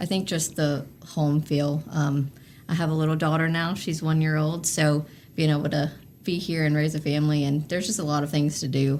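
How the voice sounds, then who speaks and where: In a Southern US accent, a woman with a very deep, low voice speaks at a fairly quick pace with fairly even intonation. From North Carolina (Oak Ridge, near Greensboro). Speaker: sports marketing executive. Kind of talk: casual interview chat.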